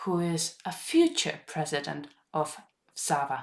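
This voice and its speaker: A woman is speaking. Her voice has vocal fry. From Estonia. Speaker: podcast host and veterinarian. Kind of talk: scripted narration.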